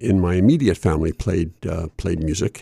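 This man has a dark, mellow tone and speaks with an American accent. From Chester, Pennsylvania (Delaware Valley). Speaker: college radio DJ, bluegrass show host. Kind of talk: casual interview. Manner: hesitant, many fillers.

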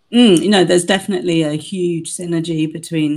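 A woman talks very fast in a British accent. Her pitch varies in an ordinary way. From UK. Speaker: co-host.

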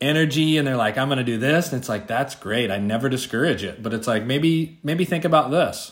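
Talking at a fairly quick pace, a man has a normal speaking voice at medium pitch with ordinary pitch variation. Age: 40s. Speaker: podcast co-host. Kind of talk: casual chat.

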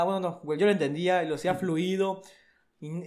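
This man has a Mexican accent. His pace is fairly quick. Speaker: podcast co-host. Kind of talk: casual chat. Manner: animated.

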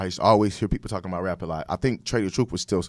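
On a very clean recording with a silent background, a man speaks with an American accent. His pitch is fairly low with ordinary pitch variation. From Sacramento, California. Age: 30s. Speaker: music producer. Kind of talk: casual interview. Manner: halting, many fillers and repeats.

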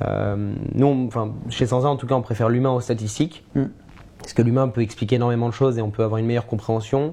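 Against noticeable background noise, a man of medium pitch talks at a fairly quick pace with fairly even intonation. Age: 20s. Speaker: media founder. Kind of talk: casual chat. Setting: live stream.

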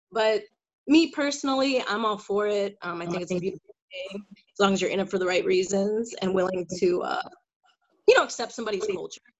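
A woman with a Chicago accent, medium in pitch, at a fairly quick pace with ordinary pitch variation. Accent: Chicago area American. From Chicago suburbs, US. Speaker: guest. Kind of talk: casual discussion.

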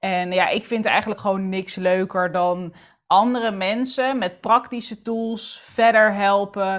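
A woman talks at a very slow pace in a medium pitch. The background is quiet. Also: fairly even intonation. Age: 30s. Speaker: entrepreneur and author on planning and structure. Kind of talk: casual interview chat.

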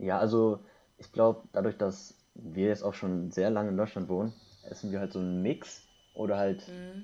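The voice is dark and mellow, with a flat, monotone delivery and big swings in loudness. It moves at a moderate pace against a quiet background. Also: man, fairly low pitch for a man. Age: 20s. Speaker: podcast guest, university student. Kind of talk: casual chat.

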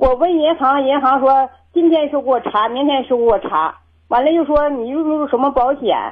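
Her voice sits high. The woman's pitch moves with ordinary variation. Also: moderate pace. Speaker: caller. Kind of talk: phone call-in conversation. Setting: phone call. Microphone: worried too quiet, host says clear.

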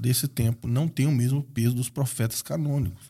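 A somewhat breathy man's voice of medium pitch with a dark, mellow tone, in a very clean recording with a silent background. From Brazil, raised in Espírito Santo, Minas and Rio de Janeiro. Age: 40s. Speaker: missionary. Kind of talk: interview.

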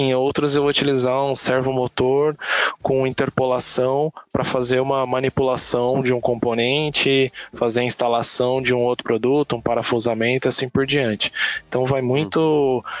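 Against noticeable background noise, a man speaks in a monotone, flat intonation at very even loudness. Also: medium pitch for a man, moderate pace. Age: 30s. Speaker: automation business specialist. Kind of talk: casual chat.

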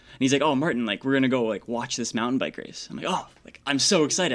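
A man speaks with a Canadian accent. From Toronto, Ontario, Canada. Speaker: engineering student and elite cyclist. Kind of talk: casual interview. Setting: radio studio.

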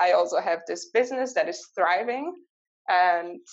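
With a German accent, a woman talks at a moderate pace. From Switzerland. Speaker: mindset coach. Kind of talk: interview.

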